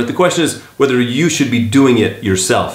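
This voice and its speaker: Moderately paced speech from a man at medium pitch, over noticeable background noise. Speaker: video editor and voice actor turned real estate agent. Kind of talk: casual talk to camera, tutorial. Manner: conversational, friendly, informal.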